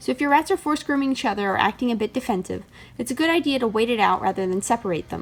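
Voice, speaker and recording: A woman's fairly high voice at a very fast pace, with lively intonation and music in the background. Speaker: pet rat keeper. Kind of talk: instructional voiceover.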